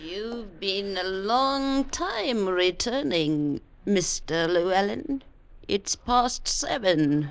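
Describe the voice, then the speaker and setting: A woman puts on a character voice at a medium pitch, her pitch swinging very widely. She speaks at a very slow pace. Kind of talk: 1940s radio acting. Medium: old radio play. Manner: quiet, insinuating.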